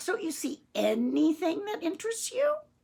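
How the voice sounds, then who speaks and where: Putting on a character voice, a woman squeaks at an extremely high pitch and a moderate pace. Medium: read story.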